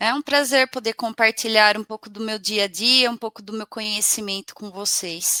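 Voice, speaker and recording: Her fairly high voice has a bright, sharp tone and fairly even intonation as this woman moves at a moderate pace with hardly any pauses, big swings in loudness, and a dry, close sound with no echo. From Brazil, São Paulo state interior (Bariri). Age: 30s. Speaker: personal trainer. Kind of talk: casual interview chat. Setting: studio, live broadcast.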